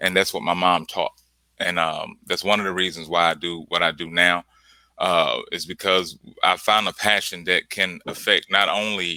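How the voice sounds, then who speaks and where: Here a man with a Mississippi Delta accent talks at a moderate pace. The recording is very clean, with a silent background and a dry, close sound with no echo. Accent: Southern US, Mississippi Delta. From US South, Clarksdale, Mississippi. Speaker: artist. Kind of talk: casual interview. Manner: halting, many fillers.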